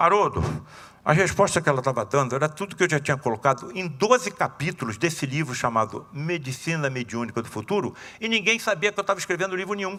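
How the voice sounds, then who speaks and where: A bright, sharp tone at a very fast pace, with very wide pitch swings. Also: man, fairly high pitch for a man. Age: 70s. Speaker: surgeon and spiritist lecturer. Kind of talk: lecture. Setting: seminar talk with audience. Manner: animated, conversational.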